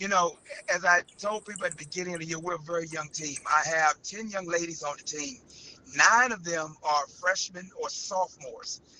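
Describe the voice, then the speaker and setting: A man speaks in a high voice with fairly even intonation and big swings in loudness. Background noise is noticeable. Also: moderate pace. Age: 60s. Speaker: high school girls basketball head coach. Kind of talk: interview.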